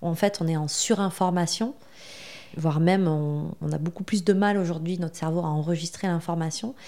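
At a moderate pace, a woman with a slight southwestern French accent speaks in a dark, mellow tone. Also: fairly low pitch for a woman, fairly even intonation. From southwestern France. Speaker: marketing agency founder. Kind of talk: podcast interview. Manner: hesitant, with frequent fillers.

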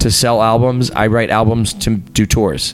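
A man with an American accent, music playing in the background. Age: 30s. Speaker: actor and musician. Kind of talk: casual chat.

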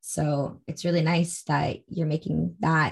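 This woman has a fairly low pitch. Her voice is somewhat breathy. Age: 20s. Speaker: podcast host. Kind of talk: casual interview chat.

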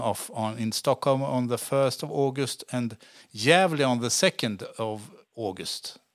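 A man with a Swedish accent is heard on a very clean recording with a silent background. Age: 50s. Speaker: podcast host. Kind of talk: interview. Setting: studio.

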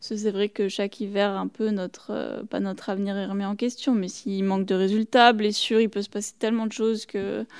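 In a very clean recording with a silent background, a woman speaks. Her pace is fairly quick and her intonation monotone and flat. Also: medium pitch for a woman. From French Alps (Tignes, Savoie). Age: 20s. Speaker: alpine ski racer. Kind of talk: interview.

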